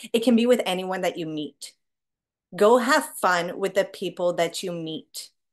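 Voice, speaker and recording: Over a quiet background, a woman speaks at a fairly slow pace with lively intonation and big swings in loudness. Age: 30s. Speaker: business owner, artist, mother; speaker. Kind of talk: group video call talk. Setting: video call. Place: home room. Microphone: webcam.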